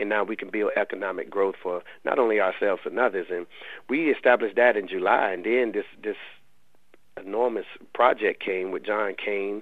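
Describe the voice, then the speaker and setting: A man speaks at a fairly quick pace with a fairly low pitch. He has a plain, everyday voice. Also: fairly even intonation. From US South, Raleigh, North Carolina. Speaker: college basketball head coach. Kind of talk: radio interview.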